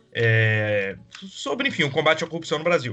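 An unremarkable speaking voice is heard here. It moves at a moderate pace with ordinary pitch variation. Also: man. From Espírito Santo, Brazil. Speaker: podcast co-host. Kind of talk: casual political discussion.

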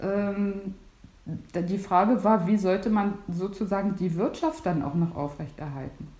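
Amid noticeable background noise and audible room echo, a woman at a medium pitch speaks at a fairly slow pace with lively intonation. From northern Germany, near Stralsund. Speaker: host's sister. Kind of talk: casual chat.

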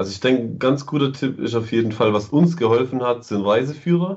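Pitch variation here is ordinary, and the pace runs fairly quick. It is a normal speaking voice. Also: man. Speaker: travel blogger, computer science student. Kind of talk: casual chat.

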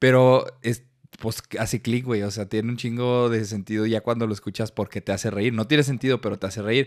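Monotone, flat delivery from a man at a medium pitch and a fairly quick pace. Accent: Mexican. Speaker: podcast co-host. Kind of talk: casual chat.

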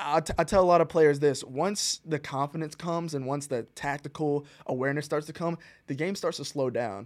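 With a plain, everyday voice and an American accent, a man talks at a fairly quick pace and a fairly high pitch with ordinary pitch variation, in a very clean recording with a silent background. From US South, Rock Hill, South Carolina. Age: 20s. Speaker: professional soccer player. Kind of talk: interview.

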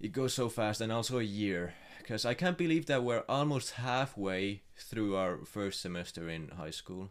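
A man with a fairly low pitch talks at a moderate pace with lively intonation and hardly any pauses, in an ordinary speaking voice. The recording is very clean, with a silent background. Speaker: podcast co-host. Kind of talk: casual chat.

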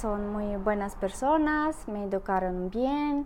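In a Russian accent, a woman talks at a very slow pace with very wide pitch swings. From Russia, Saint Petersburg. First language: Russian (speaking Spanish). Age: 30s. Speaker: podcast guest. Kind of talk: casual interview.

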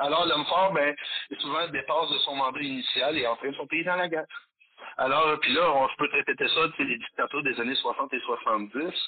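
Moderate pace against noticeable background noise. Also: man. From Quebec, Valleyfield. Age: 50s. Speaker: metal musician and history teacher. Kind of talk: casual interview. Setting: phone call.

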